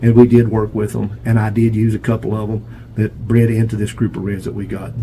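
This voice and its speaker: Over noticeable background noise, a man with an American accent speaks at a moderate pace in a fairly low pitch with monotone, flat intonation. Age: 70s. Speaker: pigeon breeder. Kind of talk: casual video tour monologue. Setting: pigeon loft feed room.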